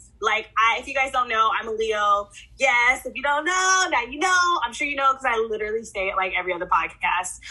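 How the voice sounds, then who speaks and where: A woman with an American accent speaks in a high pitch at a fairly quick pace, with hardly any pauses. Her tone is bright, sharp and animated, and her pitch swings very widely. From Oklahoma City. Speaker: podcast co-host. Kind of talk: casual chat.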